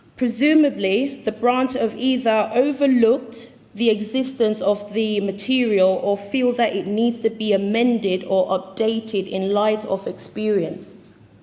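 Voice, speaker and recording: Over noticeable background noise, a woman with a British accent speaks fairly slowly at a fairly high pitch, her intonation fairly even. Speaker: union delegate. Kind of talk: conference speech.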